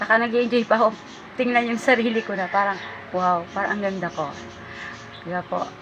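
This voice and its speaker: Speaking at a fairly quick pace, a woman with a fairly high voice leaves long, frequent pauses over noticeable background noise. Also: ordinary pitch variation. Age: 50s. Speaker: vlogger. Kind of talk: casual monologue vlog. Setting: at her store.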